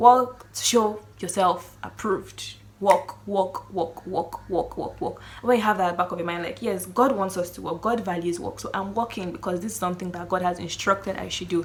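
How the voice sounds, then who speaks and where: A woman at medium pitch, moderate pace and hardly any pauses, ordinary pitch variation, big swings in loudness, noticeable background noise. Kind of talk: casual faith talk to camera. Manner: halting, self-correcting.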